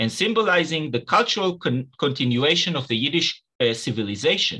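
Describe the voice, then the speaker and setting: Against a quiet background, a man speaks at a moderate pace in a bright, sharp tone with very wide pitch swings. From Israel. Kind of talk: academic lecture. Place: home room. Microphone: webcam.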